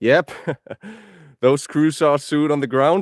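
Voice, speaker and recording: Here a man speaks with a Finnish accent. The sound is dry and close with no echo, on a very clean recording with a silent background. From Finland. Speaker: outdoor vlogger. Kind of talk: live stream chat while building.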